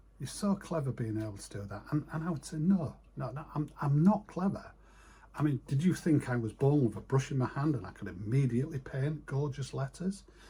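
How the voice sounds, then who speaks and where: A man's somewhat breathy, dark and mellow voice, fairly high in pitch, in a northern English accent with lively intonation at a fairly quick pace. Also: big swings in loudness. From northern England, east coast. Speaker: retired sign writer. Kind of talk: casual vlog monologue. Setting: home office. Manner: halting.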